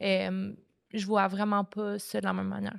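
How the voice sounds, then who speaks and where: The recording is very clean with a silent background as a woman talks at a fairly slow pace. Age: 20s. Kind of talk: podcast guest conversation.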